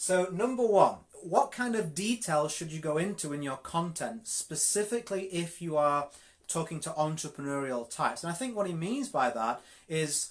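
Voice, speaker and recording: A high-voiced man with a Yorkshire accent and lively intonation, on a very clean recording with a silent background. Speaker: network marketing coach. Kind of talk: live coaching session. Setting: live video stream. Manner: direct, straight to the point.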